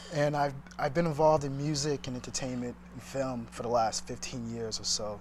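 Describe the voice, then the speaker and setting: Here a man speaks with an American accent at a medium pitch. His pace is fairly quick. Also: fairly even intonation. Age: 30s. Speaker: entrepreneur. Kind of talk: interview. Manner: halting.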